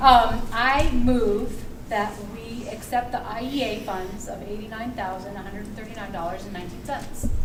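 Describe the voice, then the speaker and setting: A woman's voice with fairly even intonation and big swings in loudness, amid audible room echo and noticeable background noise. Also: fairly high pitch for a woman, moderate pace. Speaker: school board member. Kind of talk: public meeting discussion. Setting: school cafeteria meeting. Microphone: too quiet.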